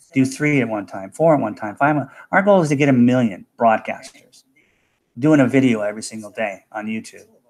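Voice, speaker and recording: An unremarkable speaking voice from a man at medium pitch, fairly quick, with ordinary pitch variation, big swings in loudness and a very clean recording over a silent background. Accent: American. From USA. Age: 60s. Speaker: cryptocurrency promoter. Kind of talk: live broadcast pitch. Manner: casual, repetitive 'okay' fillers.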